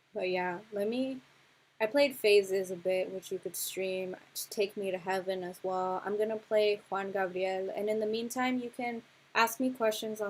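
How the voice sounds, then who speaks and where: Her intonation stays fairly even as the woman keeps a moderate pace. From Los Angeles County, California. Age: 20s. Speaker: music producer and workshop teacher; musician hosting a livestream. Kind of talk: livestream workshop talk. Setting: livestream. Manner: casual, hesitant with fillers. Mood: earnest, reflective. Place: home room. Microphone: webcam.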